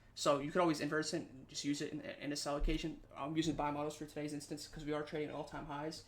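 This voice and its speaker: With audible room echo around him, a man rattles on at a very fast pace with hardly any pauses, in a fairly high pitch and monotone, flat intonation. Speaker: trading instructor. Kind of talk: lecture.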